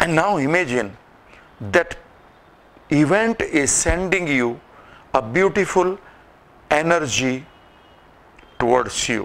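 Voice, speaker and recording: Speaking at a fairly slow rate, a man delivers his words. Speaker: presenter. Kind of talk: guided visualization talk. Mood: calm, slow, soothing. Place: hall.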